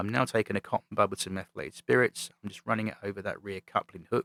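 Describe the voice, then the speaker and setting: With a British accent, a man speaks fairly quickly in a fairly low pitch, his tone bright and sharp and the sound dry and close with no echo. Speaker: model railway hobbyist YouTuber. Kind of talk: voice-over tutorial commentary. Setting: recorded voice-over over playback. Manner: monotone.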